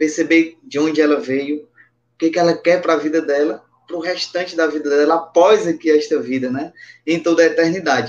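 A normal speaking voice with fairly even intonation and a fairly quick pace. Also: man, fairly high pitch for a man. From Brazilian Northeast, Patos, Paraíba. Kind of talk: religious testimony and teaching.

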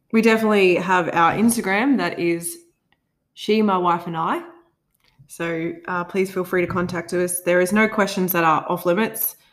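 An unremarkable speaking voice from a woman, medium in pitch, at a moderate pace with fairly even intonation. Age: 20s. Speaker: podcast co-host. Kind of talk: casual chat.

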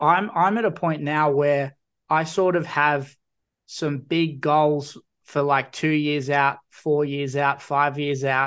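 With an Australian accent, a man speaks at a very slow pace in a fairly high pitch. His intonation is fairly even, his loudness very even, and the background is quiet. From Newcastle, New South Wales. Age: 20s. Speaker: podcast host. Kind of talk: casual chat.

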